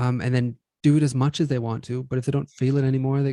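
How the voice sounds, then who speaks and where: A man talks at a fairly quick pace in a dark, mellow tone with medium pitch. The sound is dry and close with no echo. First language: not English. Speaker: podcast co-host. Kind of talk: casual chat.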